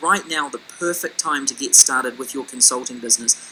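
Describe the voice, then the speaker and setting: Noticeable background noise sits behind the speaker. He is a man with a New Zealand accent and lively intonation. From New Zealand, Auckland. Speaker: business consultant. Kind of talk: webinar sales presentation.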